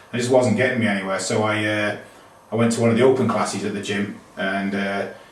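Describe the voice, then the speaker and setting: A man speaks at a very fast pace in a fairly low pitch with monotone, flat intonation. Audible room echo and noticeable background noise surround him. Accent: British. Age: 40s. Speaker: yoga student. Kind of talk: testimony.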